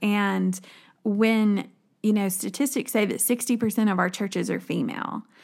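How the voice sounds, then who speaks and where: This woman speaks at a moderate pace with a Southern US accent. The recording is very clean, with a silent background. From rural West Tennessee. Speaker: women's minister. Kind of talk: podcast conversation.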